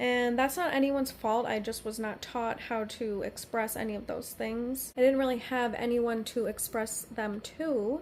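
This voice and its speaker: A woman speaks at a high pitch with fairly even intonation. She leaves hardly any pauses. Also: moderate pace. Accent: American. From US East Coast. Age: 30s. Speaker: energy healer. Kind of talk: personal monologue. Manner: halting.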